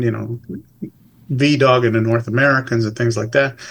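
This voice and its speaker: A man speaks at a moderate pace and medium pitch with fairly even intonation. It is a normal speaking voice. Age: 50s. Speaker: dog sport judge and club president. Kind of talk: casual interview.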